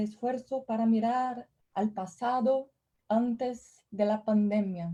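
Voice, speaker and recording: In a dark, mellow tone, a woman with a fairly high pitch speaks very slowly and somewhat breathily, her intonation fairly even and her loudness very even. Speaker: professor. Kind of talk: lecture.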